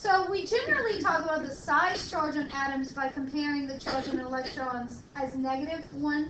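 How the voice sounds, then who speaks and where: Loud and high-pitched, a woman speaks at a moderate pace with lively intonation, and room echo is audible. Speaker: chemistry lecturer. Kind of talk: lecture. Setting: classroom with students.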